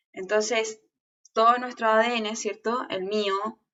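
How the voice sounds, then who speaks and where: The voice belongs to a woman and sits at a fairly high pitch. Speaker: teacher. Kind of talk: online lecture. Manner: fast; animated.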